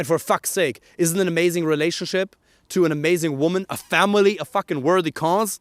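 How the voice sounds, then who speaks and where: A man with a German accent and a high pitch talks at a fairly quick pace in an animated tone. The recording is very clean with a silent background, and the sound is dry and close with no echo. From Germany. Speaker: dating coach. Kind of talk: motivational talk to camera.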